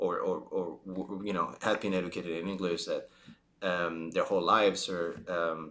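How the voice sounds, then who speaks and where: A man with a Spanish accent, talking at a fairly slow pace. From Spain. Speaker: vlogger. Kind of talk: casual storytelling monologue. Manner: halting, many fillers and restarts.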